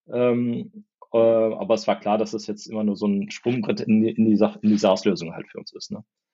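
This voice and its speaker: A man speaks in a plain, everyday voice at medium pitch and a moderate pace. His intonation is fairly even, though his loudness swings widely. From northern Germany, East Westphalia (Porta Westfalica). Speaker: tech company founder. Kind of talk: interview.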